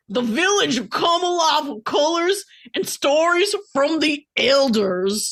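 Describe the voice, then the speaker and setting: A woman uses a put-on character voice, high in pitch and strained. She speaks at a fairly slow pace with very wide pitch swings. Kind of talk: comic dramatic reading. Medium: read story.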